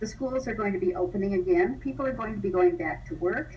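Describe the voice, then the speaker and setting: A woman with an American accent speaks at a medium pitch with very wide pitch swings over noticeable background noise. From Los Angeles area. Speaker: public commenter at community meeting. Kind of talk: public comment.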